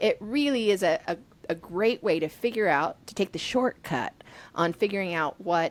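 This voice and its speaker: Delivered at a moderate pace, the speech has lively intonation and comes in a Texan accent. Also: woman. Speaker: podcast host and strengths coach. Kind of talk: casual interview. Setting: video call.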